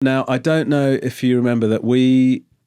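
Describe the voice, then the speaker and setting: On a very clean recording with a silent background, a man with an English accent speaks at a moderate pace in a medium-pitched, dark, mellow tone. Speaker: comedian and chat show host. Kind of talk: casual interview talk.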